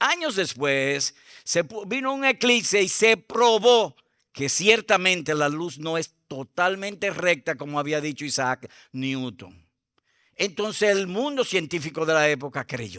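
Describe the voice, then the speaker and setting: Speaking at a fairly slow pace, a man with a high pitch and a bright, sharp tone makes very wide pitch swings in a very clean, dry recording with a silent background and a close sound with no echo. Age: 70s. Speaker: pastor. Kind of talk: sermon.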